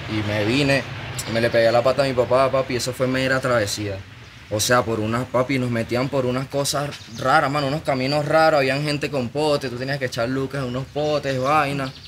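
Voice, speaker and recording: A man at a fairly quick pace with fairly even intonation, over light background noise. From Venezuela, Maracaibo. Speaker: musician. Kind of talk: casual chat. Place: studio. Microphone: studio mic.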